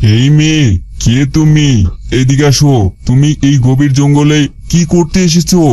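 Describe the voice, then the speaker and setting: Putting on a cartoonish character voice, a man speaks at a fairly high pitch and moderate pace, with fairly even intonation and very even loudness. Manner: fatherly.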